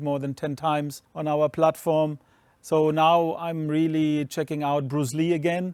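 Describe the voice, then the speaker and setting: Speaking with a German accent, a man uses a fairly high pitch and flat, monotone intonation at a moderate pace. The recording is very clean and dry, close with no echo, over a silent background. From Germany. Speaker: streaming company co-founder. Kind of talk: interview.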